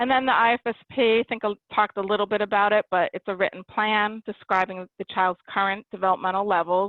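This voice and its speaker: Talking at a very fast pace, a woman keeps her intonation fairly even. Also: medium pitch for a woman, hardly any pauses. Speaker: early intervention program official. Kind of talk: webinar presentation. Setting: webinar.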